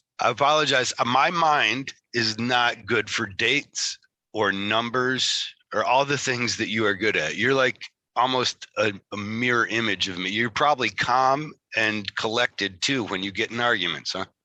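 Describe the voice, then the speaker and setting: A man's medium-pitched voice with a Michigan accent, bright and sharp in tone, at a moderate pace. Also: ordinary pitch variation, dry, close sound with no echo. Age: 40s. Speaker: tattoo artist and podcast host. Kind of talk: casual interview chat. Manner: halting, repeats words.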